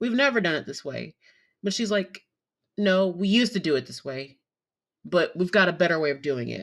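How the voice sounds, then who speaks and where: A woman talks at a fairly quick pace, with long, frequent pauses and big swings in loudness. The recording is very clean, with a silent background. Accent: Southern US. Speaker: podcast host and nursing assistant. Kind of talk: casual monologue. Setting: home recording. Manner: many filler ums.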